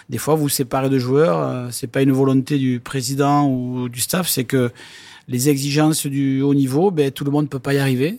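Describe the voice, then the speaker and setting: In a very clean recording with a silent background, a man with a plain, everyday voice speaks at a fairly high pitch, a moderate pace and fairly even intonation. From southwest France, Lourdes (Hautes-Pyrénées). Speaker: rugby club president. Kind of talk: interview. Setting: in a stadium stand.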